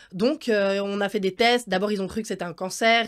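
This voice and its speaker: At a fairly quick pace, a woman with a plain, everyday voice talks in a medium pitch, recorded very cleanly against a silent background. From Switzerland. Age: 20s. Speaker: circus artist. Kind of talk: interview.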